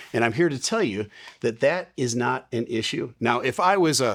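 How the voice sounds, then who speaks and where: In a very clean recording with a silent background, a man with a plain, everyday voice speaks at a medium pitch and a fairly quick pace, with ordinary pitch variation. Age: 60s. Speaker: airline pilot and video host. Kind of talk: opinion commentary.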